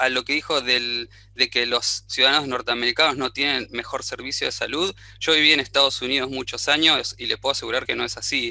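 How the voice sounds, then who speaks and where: The man talks at a moderate speed. He has an Argentine accent. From Argentina. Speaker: audience participant in webinar. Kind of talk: question in online panel discussion. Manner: halting, many fillers and restarts.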